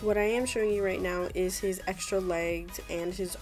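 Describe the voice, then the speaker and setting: The speaker talks at a moderate pace. Music can be heard in the background. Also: woman. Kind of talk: casual unboxing talk to camera.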